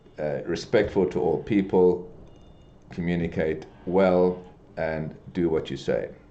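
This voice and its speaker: In a room with audible echo, a man speaks very slowly in a very deep, low voice with a dark, mellow tone. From South Africa (Durban). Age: 60s. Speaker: business executive. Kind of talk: podcast interview. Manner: halting, many fillers and repetitions.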